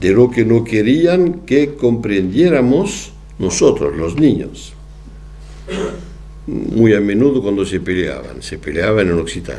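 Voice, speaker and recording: A man speaks at a very slow pace with a French accent. His pitch swings very widely over noticeable background noise. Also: fairly low pitch for a man. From southwest France. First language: French (speaking Spanish). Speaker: psychoanalyst lecturer. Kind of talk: lecture. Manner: halting.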